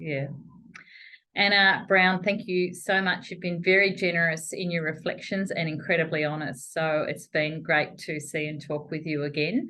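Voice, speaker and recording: Speaking with an Australian accent, a woman has a fairly low pitch. She keeps a moderate pace with ordinary pitch variation. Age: 60s. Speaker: chief executive, interviewer. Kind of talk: interview conversation.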